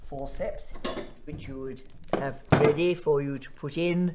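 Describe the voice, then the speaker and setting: A woman with a very deep, low pitch speaks with ordinary pitch variation. Audible room echo and noticeable background noise surround her. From Devon, England (near Exeter). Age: 80s+. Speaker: retired doctor. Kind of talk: oral history interview. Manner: halting.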